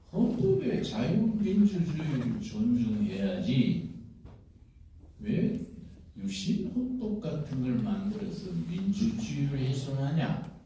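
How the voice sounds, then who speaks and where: Very wide pitch swings at a very slow pace, with audible room echo and noticeable background noise. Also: man, high pitch for a man. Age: 80s+. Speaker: pastor and veteran democracy activist. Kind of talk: speech at a rally. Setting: auditorium stage with audience.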